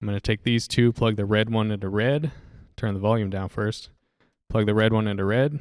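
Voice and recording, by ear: The tone is clear and smooth. The pace is fairly quick. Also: man, fairly low pitch for a man, fairly even intonation.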